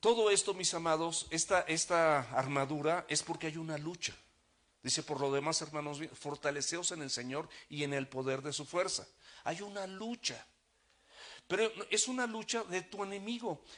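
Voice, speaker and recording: A man's ordinary speaking voice, fairly high in pitch, with ordinary pitch variation at a moderate pace. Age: 60s. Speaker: pastor. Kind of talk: sermon.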